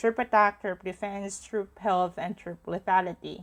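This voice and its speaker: A woman speaks at a medium pitch while music plays in the background. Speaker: gaming tutorial creator. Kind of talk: tutorial.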